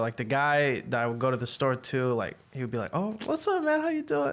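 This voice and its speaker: Noticeable background noise behind a man's fairly high-pitched voice, very fast in pace with lively intonation. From Egypt, moved to US at age eight. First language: Arabic. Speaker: podcast guest sharing faith story. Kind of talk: casual interview.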